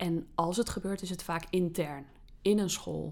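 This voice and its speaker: A woman talks at a fairly slow pace in a fairly low pitch with ordinary pitch variation. Her tone is dark and mellow. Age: 30s. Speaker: teacher. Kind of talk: casual interview.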